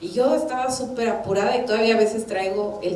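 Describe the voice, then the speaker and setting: A woman at a fairly high pitch with ordinary pitch variation, amid noticeable background noise and audible room echo. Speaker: church minister. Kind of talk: sermon.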